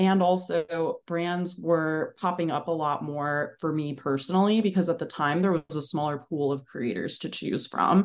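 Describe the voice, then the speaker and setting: In an American accent, a woman with an unremarkable speaking voice talks at a moderate pace with fairly low pitch, ordinary pitch variation and hardly any pauses against a quiet background. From New Jersey, Bergen County. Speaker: content creator. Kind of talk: casual interview chat.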